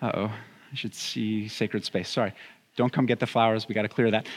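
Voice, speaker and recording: A man speaks at a very fast pace. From Southern California. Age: 30s. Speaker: pastor. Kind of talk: sermon. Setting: church.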